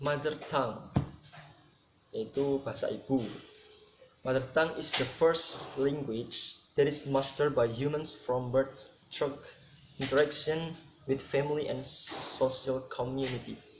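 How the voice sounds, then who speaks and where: Speech comes at a very slow pace, with long, frequent pauses and monotone, flat intonation. Noticeable background noise and audible room echo fill the recording. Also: man. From Java, Indonesia. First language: Javanese (speaking Indonesian). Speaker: student presenter. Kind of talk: lecture.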